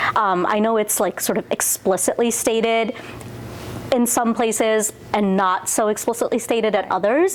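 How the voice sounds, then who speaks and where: A woman with an American accent, fairly high-pitched, at a moderate pace and very even loudness, amid noticeable background noise. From Nepal, raised in the USA from about age 7. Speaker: learning consultant. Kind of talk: interview answer. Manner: casual, uses many fillers.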